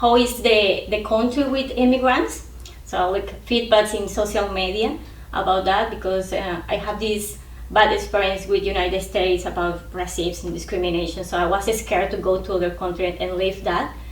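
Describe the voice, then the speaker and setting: A woman talks at a moderate pace. Audible room echo and noticeable background noise fill the recording. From Colombia. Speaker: international student. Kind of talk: interview.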